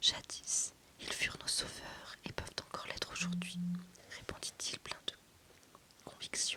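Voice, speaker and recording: A woman whispers at a fairly slow pace, with noticeable background noise behind her. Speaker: self-published fantasy author and ASMR reader. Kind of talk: whispered audiobook-style reading of a fantasy novel excerpt. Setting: close-mic ASMR recording, relaxation content. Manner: whispered, soft, calming.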